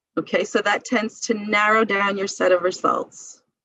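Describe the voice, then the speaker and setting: A woman speaks at a moderate pace with a medium pitch. She has a plain, everyday voice. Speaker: medical librarian teaching a seminar. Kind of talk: lecture.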